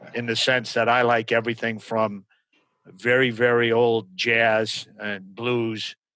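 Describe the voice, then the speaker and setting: The sound is dry and close, with no echo. A man speaks at a medium pitch in a bright, sharp tone. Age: 60s. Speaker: business founder. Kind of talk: podcast interview. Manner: halting, many fillers.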